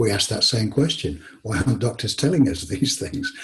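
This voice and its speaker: Words pour out very fast from a man with an English accent. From England. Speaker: author. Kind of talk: interview conversation. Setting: call.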